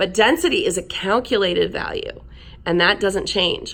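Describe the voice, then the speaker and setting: Her pitch leaps up and down very widely. The speaker is a woman. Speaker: science teacher. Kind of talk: recorded class lesson. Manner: fast.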